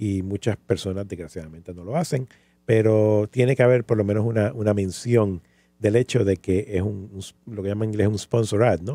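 A man's dark, mellow tone at a fairly low pitch and moderate pace, with ordinary pitch variation, big swings in loudness and a dry, close sound with no echo. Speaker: podcast host. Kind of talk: casual chat.

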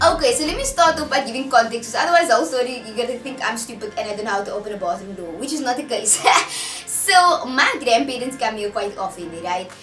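With clear music in the background and audible room echo, a woman speaks at a very fast pace in a high pitch. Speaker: vlogger. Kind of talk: casual vlog chat. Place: home room. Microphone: camera far.

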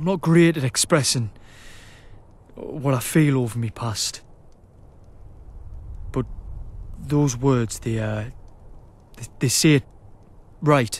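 A man's gruff, put-on character voice in a British accent, medium in pitch, at a fairly slow pace with long, frequent pauses. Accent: British Isles, dropped "my" to "me". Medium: machinima. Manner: gruff, reluctant, wry.

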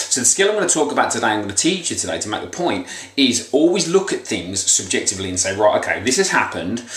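The speaker talks at a very fast pace with very wide pitch swings. Room echo is audible. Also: man. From England. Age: 30s. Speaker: weight loss motivational vlogger. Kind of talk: motivational monologue. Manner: casual, hesitant with fillers. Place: home room. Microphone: webcam.

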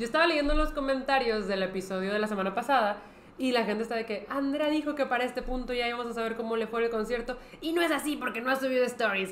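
Very fast, high-pitched woman's voice with ordinary pitch variation, light background noise and audible room echo. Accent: Mexican. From Mexico. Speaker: podcast co-host. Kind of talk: casual chat. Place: studio.

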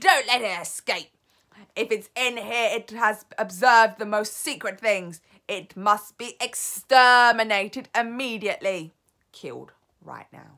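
In a put-on character voice, a woman projects a raised, shrill sound at a fairly high pitch and a fairly slow pace, on a very clean recording with a silent background. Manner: screeching.

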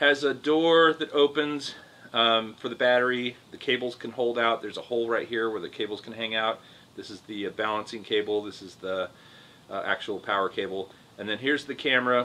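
A man's voice at a fairly quick pace, with ordinary pitch variation and big swings in loudness. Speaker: drone reviewer. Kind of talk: product review commentary. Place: home room.

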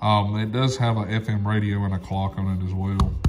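A man's slightly mellow tone at a fairly slow pace

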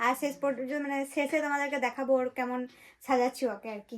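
Bright and sharp, a woman's high voice is raised and projected. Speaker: vlogger. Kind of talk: vlog.

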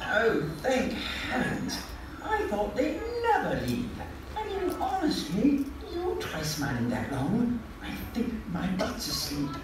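A woman puts on a cartoonish character voice, fairly high-pitched with very wide pitch swings, speaking slowly in a room with audible echo and clear music in the background.

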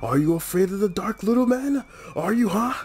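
A man talks fairly quickly in a put-on character voice pitched high for a man, with light background noise. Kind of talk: theatrical voice acting. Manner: taunting, menacing.

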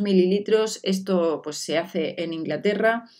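In an animated tone, a woman speaks at a moderate pace and medium pitch with ordinary pitch variation, against a quiet background. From Spain. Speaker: beauty vlogger. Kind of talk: product review vlog. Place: home room.

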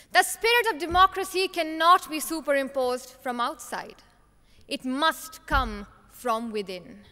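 A woman's raised, projected voice, extremely high-pitched, at a fairly slow pace. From Himachal Pradesh, India. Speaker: youth parliament contest winner; speaker. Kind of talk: prepared competition speech; formal speech. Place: hall. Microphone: podium.

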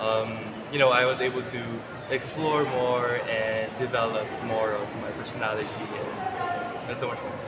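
A man at a moderate pace with long, frequent pauses over loud background noise. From Philippines. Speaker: male pageant titleholder. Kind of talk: casual interview. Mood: cheerful, smiling. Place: shop. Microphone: phone near.

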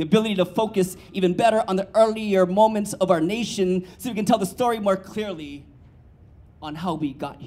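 A man with a high pitch speaks at a fairly quick pace. His pitch variation is ordinary. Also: big swings in loudness. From Hawaii. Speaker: poet. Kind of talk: spoken word performance. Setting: stage with audience. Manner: rhythmic and emphatic. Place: stage. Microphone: handheld.

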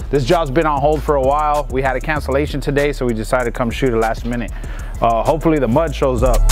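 A man speaks at a very fast pace, with clear music in the background. The sound is dry, with no echo. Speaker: pool contractor. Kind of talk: casual vlog chat. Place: open country.

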